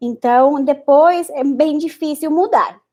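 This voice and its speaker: A woman speaks with a Spanish accent. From Spanish-speaking country. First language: Spanish (speaking Portuguese). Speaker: Spanish teacher and researcher. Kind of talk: online lesson. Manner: halting.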